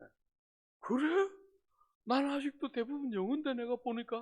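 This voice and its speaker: A man is speaking. His intonation is lively. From South Korea, Gyeongsang (Busan). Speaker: pastor. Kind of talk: sermon. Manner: animated.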